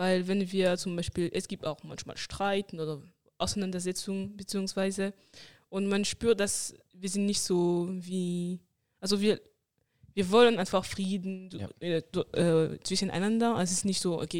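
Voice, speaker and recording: A woman speaks at a medium pitch with fairly even intonation. Her pace is moderate, broken by long, frequent pauses. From France. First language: French (speaking German). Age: 20s. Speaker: mission school student. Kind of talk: casual chat.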